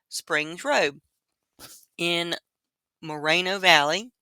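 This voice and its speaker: The speaker has a North Carolina accent, heard on a very clean recording with a silent background. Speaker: true crime YouTuber. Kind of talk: casual livestream commentary. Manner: casual, halting.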